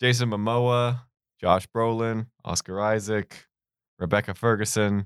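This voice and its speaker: A man's medium-pitched, flat, monotone voice at a very slow pace, with long, frequent pauses and a dry, close sound with no echo. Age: 20s. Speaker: podcast co-host. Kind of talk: casual banter. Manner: joking, interrupts often.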